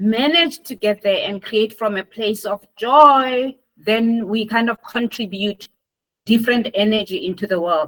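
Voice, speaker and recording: Lively intonation marks a woman's fairly high voice. The sound is dry and close, with no echo. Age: 60s. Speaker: healer and activist. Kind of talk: interview. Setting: video call.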